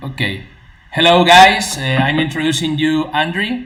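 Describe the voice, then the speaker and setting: A man with a Spanish accent speaks fairly slowly with ordinary pitch variation, amid audible room echo and noticeable background noise. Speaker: e-commerce YouTuber and interviewer. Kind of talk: live-streamed interview with translation. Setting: live stream video call. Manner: hesitant, halting English. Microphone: double sound echo on stream.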